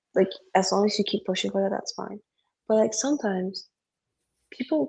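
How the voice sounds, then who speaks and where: A woman's somewhat breathy, dark, mellow voice at medium pitch, fairly quick, with lively intonation. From Indonesia. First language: Indonesian. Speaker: podcast co-host. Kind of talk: casual chat. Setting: live stream video call. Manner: animated.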